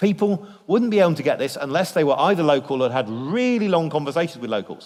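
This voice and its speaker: A man talks at a moderate pace. He has a British accent. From Britain. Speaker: biblical scholar, guest speaker. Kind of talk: church lecture. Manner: lively and humorous.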